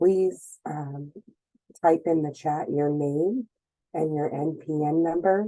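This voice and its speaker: A woman speaks very slowly in a very deep, low voice with a dark, mellow tone. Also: ordinary pitch variation. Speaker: association president chairing a meeting. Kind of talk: meeting introduction. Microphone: sounds muffled.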